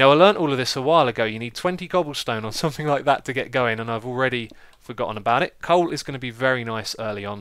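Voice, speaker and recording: A man speaks with a medium pitch. His pace is very fast. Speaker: gaming video creator. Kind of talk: gameplay commentary.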